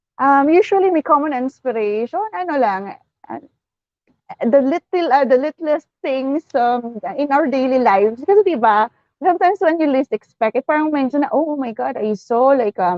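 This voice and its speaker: A woman speaks with a Western Visayas accent at a moderate pace. Her voice is high-pitched, and her intonation is lively. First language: Hiligaynon. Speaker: author. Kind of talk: casual interview in Taglish. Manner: halting, many fillers and repetitions.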